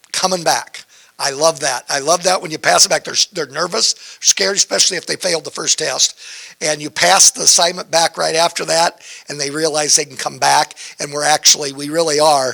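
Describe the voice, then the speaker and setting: A man with a normal speaking voice talks at a fairly quick pace and a fairly high pitch. His loudness swings widely, in a dry, close sound with no echo. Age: 60s. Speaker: community college instructor. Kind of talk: panel discussion.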